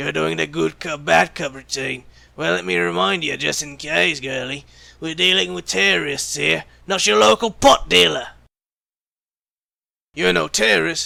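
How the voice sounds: A man's put-on character voice, fairly high and bright, sharp in tone, with vocal fry, ordinary pitch variation and a fairly slow pace.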